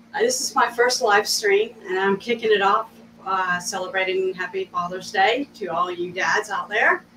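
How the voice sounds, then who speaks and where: In a room with audible echo and light background noise, a woman talks at a moderate pace with fairly even intonation. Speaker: craft host. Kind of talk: casual live stream tutorial. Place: studio. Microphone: camera far.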